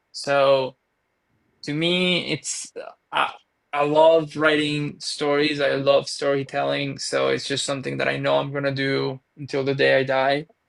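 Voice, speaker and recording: In a Venezuelan accent, a man speaks at a fairly slow pace. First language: Spanish. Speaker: author. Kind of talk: podcast interview.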